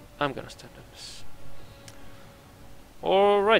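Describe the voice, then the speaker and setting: A man is speaking. Music plays in the background. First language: not English. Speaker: game streamer. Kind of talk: live gameplay commentary. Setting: live stream.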